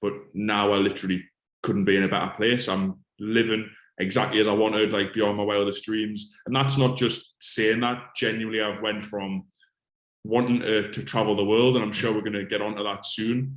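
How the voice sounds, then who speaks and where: Someone with a strong northeast English accent speaks at a moderate pace in a monotone, flat intonation. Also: man, fairly low pitch for a man. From northeast England, Alnwick, Northumberland. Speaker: fitness coach. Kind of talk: interview. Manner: casual.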